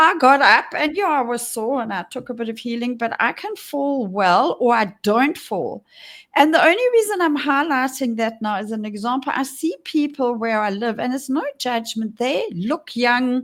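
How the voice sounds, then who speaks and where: With lively intonation and hardly any pauses, a woman speaks at a moderate pace in a high voice on a very clean recording with a silent background. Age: 60s. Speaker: podcast co-host. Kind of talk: casual chat.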